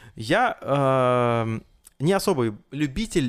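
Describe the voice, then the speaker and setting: This man has a plain, everyday voice at a medium pitch, with lively intonation. The recording is very clean, with a silent background. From Russian Far East (Blagoveshchensk). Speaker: event host and podcast host. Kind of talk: casual chat.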